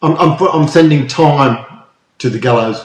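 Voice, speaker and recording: The speech moves at a fairly slow pace. Audible room echo surrounds it. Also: man. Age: 60s. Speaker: podcast co-host. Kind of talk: casual chat. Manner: animated.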